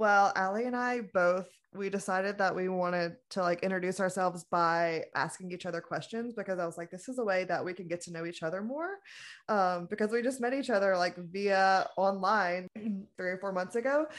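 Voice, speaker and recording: Against a quiet background, a woman with a plain, everyday voice and an American accent speaks at a moderate pace and medium pitch with ordinary pitch variation. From US South, small-town Louisiana. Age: 20s. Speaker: podcast co-host, mental health coach. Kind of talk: casual chat.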